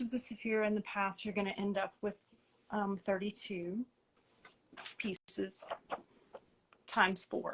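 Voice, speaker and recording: Speaking at a fairly slow pace, a woman with an Appalachian accent uses a medium pitch. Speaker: tarot publisher and teacher. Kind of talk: interview on a live stream.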